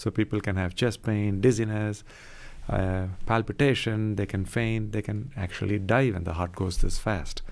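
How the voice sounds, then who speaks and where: A soft-spoken man in a calm tone, fairly low in pitch, with fairly even intonation. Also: moderate pace. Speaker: cardiologist. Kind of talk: radio interview.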